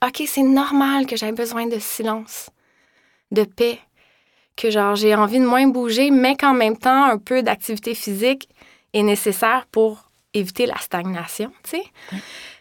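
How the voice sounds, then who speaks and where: In a Quebec accent, a woman speaks at a fairly slow pace with long, frequent pauses. The recording is very clean, with a silent background. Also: fairly high pitch for a woman, ordinary pitch variation. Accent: Québécois French. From Quebec, Laurentians. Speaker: yoga teacher and massage therapist. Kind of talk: interview.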